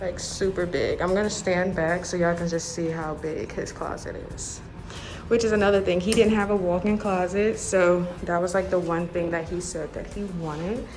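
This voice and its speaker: With music in the background and audible room echo, a woman speaks at a moderate pace in a fairly low pitch with fairly even intonation. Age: 20s. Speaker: lifestyle vlogger. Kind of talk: home tour vlog. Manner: hushed, trying to be quiet.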